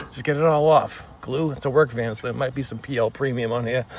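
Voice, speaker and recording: A man speaks at a moderate pace with a strong Boston accent and fairly even intonation. Background noise is noticeable. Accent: strong Boston accent, non-rhotic. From Boston, US. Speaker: DIY tutorial creator, contractor. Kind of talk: tutorial.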